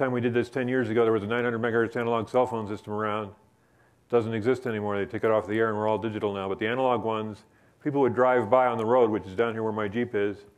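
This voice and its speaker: Flat and monotone, a man's medium-pitched voice races along at a very fast pace. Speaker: professor. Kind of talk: lecture.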